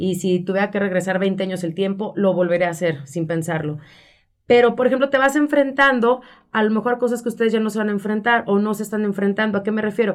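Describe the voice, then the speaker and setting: On a very clean recording with a silent background, the words rush out very fast while the pitch varies in an ordinary way. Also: woman, medium pitch for a woman. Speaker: radio announcer and communications professional. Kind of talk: interview.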